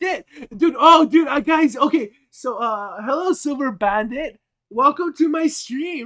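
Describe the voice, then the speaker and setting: A man's raised, projected voice, extremely high in pitch, with lively intonation, a bright, sharp tone and a fairly slow pace. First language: Spanish. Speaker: streamer. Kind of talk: live stream chat. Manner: casual, profane.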